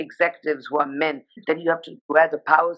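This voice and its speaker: A woman talks at a fairly quick pace. She speaks with a Nepali accent. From India, Sikkim and Darjeeling (Nepali heritage). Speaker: fashion journalist. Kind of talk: casual interview. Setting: Instagram live video.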